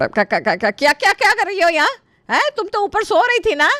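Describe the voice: Bright and sharp, a woman's put-on character voice runs at a fast pace, extremely high in pitch with big pitch swings, in a dry, close sound with no echo.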